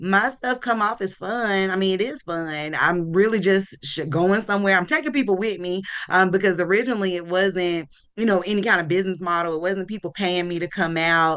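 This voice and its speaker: A woman with a strong Southern US accent speaks in an animated tone at a fairly quick pace, with ordinary pitch variation. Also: medium pitch for a woman. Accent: strong Southern country. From US South. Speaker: marketing entrepreneur and local influencer. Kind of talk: casual talk.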